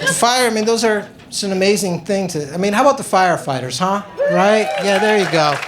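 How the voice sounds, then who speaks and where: A high-pitched man's voice with ordinary pitch variation amid noticeable background noise. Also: fairly quick pace. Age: 50s. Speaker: stand-up comedian. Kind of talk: stand-up.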